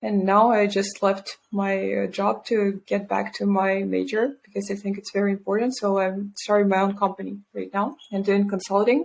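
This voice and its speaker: Speaking in a Russian accent, a woman with a medium pitch talks at a moderate pace in a monotone, flat intonation with hardly any pauses. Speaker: environmental scientist and entrepreneur. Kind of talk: interview.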